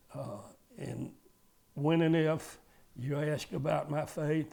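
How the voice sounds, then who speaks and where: This man speaks very slowly, in a Georgia accent. His pitch is fairly high and his intonation is flat and monotone. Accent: Georgia Southern. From US South. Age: 80s+. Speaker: retired car dealer. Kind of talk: interview testimony. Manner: halting.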